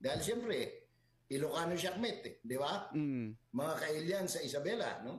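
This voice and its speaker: His pitch swinging very widely, a man keeps to a moderate pace. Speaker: political commentator. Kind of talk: casual chat.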